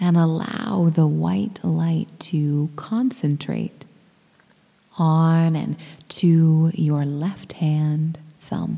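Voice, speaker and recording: A warm tone at a very slow pace, with noticeable background noise. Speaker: yoga nidra guide. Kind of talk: guided meditation, yoga nidra body scan. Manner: slow, soothing, gentle and unhurried with long pauses; warm, intimate and caring.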